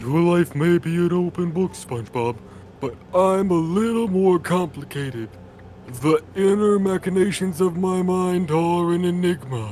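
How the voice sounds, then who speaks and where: A man's high-pitched, put-on character voice at a moderate pace, with clear background noise. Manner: slow, dopey.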